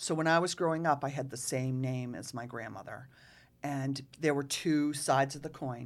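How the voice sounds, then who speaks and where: With a Massachusetts accent, a woman speaks at a very deep, low pitch. Her pace is moderate and her intonation fairly even. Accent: New England (Massachusetts). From Rockport, Massachusetts. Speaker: local historian. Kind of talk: casual chat.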